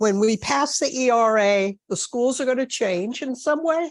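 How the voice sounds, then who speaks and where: Over a quiet background, a woman's fairly high voice rises and falls with lively intonation. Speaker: audience member. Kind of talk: question from audience. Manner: slow.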